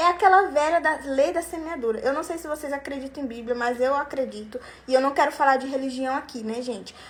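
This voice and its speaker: In an animated tone, a woman speaks at a high pitch and a fairly quick pace with ordinary pitch variation. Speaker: sales coach for lingerie sellers. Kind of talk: online class. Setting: live stream.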